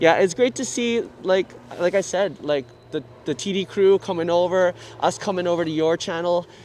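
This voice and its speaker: A high-pitched man with a Canadian accent at a moderate pace, amid noticeable background noise. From Canada, Vancouver. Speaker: YouTube live streamer. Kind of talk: casual chat. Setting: outdoors under a bridge. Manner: animated.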